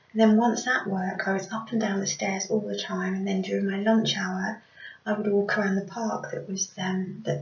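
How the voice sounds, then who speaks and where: Speaking at a moderate pace and medium pitch, a woman uses monotone, flat intonation against noticeable background noise. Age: 40s. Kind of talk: casual talk to camera. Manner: hesitant.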